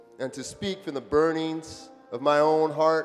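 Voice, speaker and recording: Over music in the background, a man talks in a fairly high pitch. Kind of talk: dramatic reading of a historic speech.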